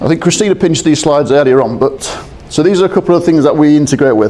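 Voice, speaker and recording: A man talks with a British accent and lively intonation. Noticeable background noise is present. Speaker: procurement systems integration specialist. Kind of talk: conference presentation. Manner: fast.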